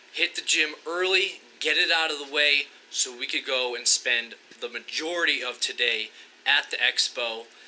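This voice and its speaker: Fairly high male voice at a moderate pace, with ordinary pitch variation and noticeable background noise. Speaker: fitness vlogger. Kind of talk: vlog narration. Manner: loud; energetic.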